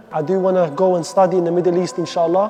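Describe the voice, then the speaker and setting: A man talks at a very fast pace with an Arabic accent and a high pitch. Noticeable background noise is present. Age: 20s. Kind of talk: personal testimony. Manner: halting, with repetitions.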